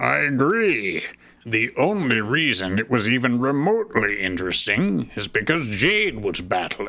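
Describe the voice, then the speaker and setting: Using a put-on character voice, a man speaks at a medium pitch. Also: moderate pace. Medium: read story. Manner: sarcastic.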